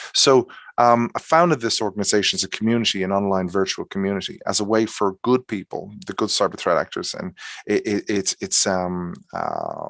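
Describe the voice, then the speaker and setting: A man with an Irish accent at a fairly quick pace, in a dry, close sound with no echo. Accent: fast Irish. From Ireland. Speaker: cybersecurity expert and founder. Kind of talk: webinar presentation. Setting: online webinar. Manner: fast; halting, many fillers.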